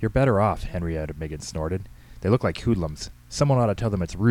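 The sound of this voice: Intonation is lively throughout this unforced reading voice.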